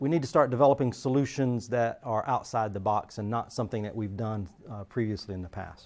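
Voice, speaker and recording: A man at a medium pitch, fairly quick in pace with hardly any pauses and ordinary pitch variation. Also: big swings in loudness. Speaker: security engineer. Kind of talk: lecture. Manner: halting, many fillers.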